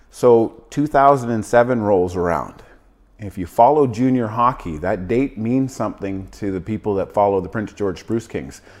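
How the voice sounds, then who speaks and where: This is a plain, everyday voice. It moves at a moderate pace with ordinary pitch variation. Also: man, fairly low pitch for a man. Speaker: real estate agent. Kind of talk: casual interview chat.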